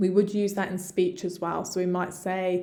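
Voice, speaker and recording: A woman's medium-pitched voice with fairly even intonation and audible room echo. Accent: English. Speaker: medical English teacher. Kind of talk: tutorial. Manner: slow, deliberate with repetition.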